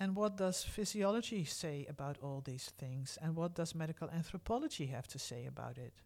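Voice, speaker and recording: Speaking fairly quickly with hardly any pauses, a woman with a Dutch accent uses a very deep, low pitch and lively intonation. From Netherlands, Groningen. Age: 50s. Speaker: podcast host, medical anthropologist. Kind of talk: personal storytelling.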